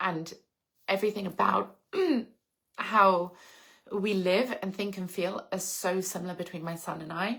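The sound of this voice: A put-on character voice from a woman, raspy and hoarse at a medium pitch, monotone and flat, at a moderate pace with long, frequent pauses.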